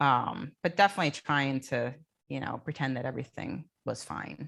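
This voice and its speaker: A woman with an American accent speaks at a moderate pace, her very deep, low voice showing vocal fry and ordinary pitch variation. The recording is very clean, with a silent background. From New Jersey (Jersey Shore). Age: 50s. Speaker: coaching client sharing recovery story. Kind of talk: panel interview testimony. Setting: conference stage panel.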